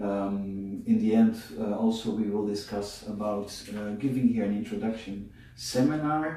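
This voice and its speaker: Audible room echo surrounds a man's voice. He keeps a fairly even intonation at a fairly slow pace. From Netherlands. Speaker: bodywork method founder. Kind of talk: interview. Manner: hesitant, many fillers.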